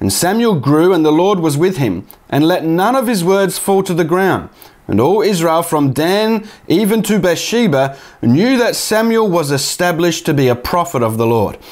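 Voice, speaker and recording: The man's intonation is lively as he talks at a moderate pace, with a quiet background behind him. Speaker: bible teaching youtuber. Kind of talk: sermon-like commentary. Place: home room. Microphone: lapel.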